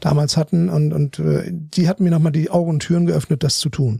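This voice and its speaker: A man's fairly high voice at a very fast pace with lively intonation, dry and close with no echo. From northern Germany (Bremen). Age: 50s. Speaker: aerospace finance executive. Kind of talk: interview.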